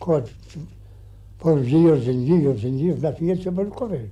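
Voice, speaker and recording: Speaking with a rural Irish accent, a man with a fairly high pitch sounds somewhat breathy, with a dark, mellow tone and lively intonation. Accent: rural Irish (Clare). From County Clare, Ireland. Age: 80s+. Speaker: farmer. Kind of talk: interview answer.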